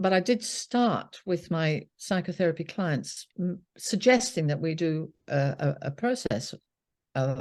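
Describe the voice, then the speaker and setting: Against a quiet background, a woman with a British accent talks at a fairly slow pace in a fairly low pitch with lively intonation. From UK. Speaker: psychotherapist. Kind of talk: interview.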